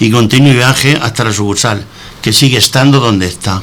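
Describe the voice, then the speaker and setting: Amid noticeable background noise, a man talks at a medium pitch and moderate pace with ordinary pitch variation. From Spain, moved around as child (born Antequera, Andalusia). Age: 70s. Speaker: retired bank employee, radio guest. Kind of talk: reading aloud a prepared personal text.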